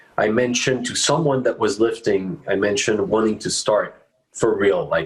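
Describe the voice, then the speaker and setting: A man speaks with a French accent at a moderate pace. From France, Paris. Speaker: bass player. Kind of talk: interview. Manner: halting.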